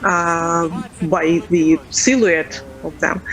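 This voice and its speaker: A woman's fairly low voice in a Russian accent, monotone and flat in intonation, with noticeable background noise. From Ukraine, Kyiv. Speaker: interviewee, civilian resident. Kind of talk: news interview. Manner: halting.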